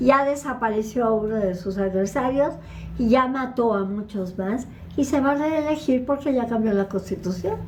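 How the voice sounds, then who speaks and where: A woman with a high voice speaks with lively intonation, and the recording carries audible room echo and noticeable background noise. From northern Mexico, Ciudad Juárez. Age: 80s+. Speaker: lecturer on Middle East politics. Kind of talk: Q&A talk.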